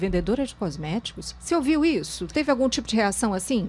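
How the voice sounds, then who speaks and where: A woman moves at a fairly quick pace while noticeable background noise is heard. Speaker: talk show host. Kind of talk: talk show interview.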